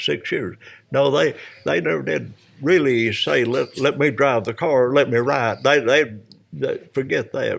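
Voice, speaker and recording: On a very clean recording with a silent background, a man speaks at a moderate pace with a Tennessee accent. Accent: US Southern, Tennessee. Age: 80s+. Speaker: retired race car driver. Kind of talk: interview. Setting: podcast recording at a vineyard.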